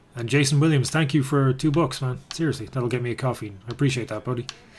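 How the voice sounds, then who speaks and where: Very fast and somewhat breathy, a man speaks at a medium pitch with fairly even intonation. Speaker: gaming and MMA streamer. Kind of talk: live stream chat while gaming. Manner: soft-spoken, near whisper.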